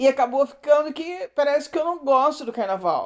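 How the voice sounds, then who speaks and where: A woman talks in a high voice with lively intonation. Her pace is moderate. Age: 60s. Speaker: retired art teacher, interviewee. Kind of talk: interview. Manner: halting.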